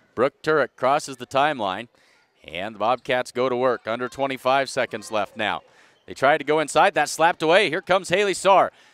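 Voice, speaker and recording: Speaking at a fairly quick pace in an animated tone, a man is heard in a dry sound with no echo. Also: lively intonation. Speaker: sports commentator. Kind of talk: live commentary. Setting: arena broadcast, live stream. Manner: animated, clipped. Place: hall.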